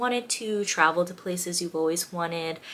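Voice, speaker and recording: A woman's fairly low, animated voice with ordinary pitch variation, on a very clean recording with a silent background. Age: 20s. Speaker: content creator. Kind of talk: casual vlog monologue.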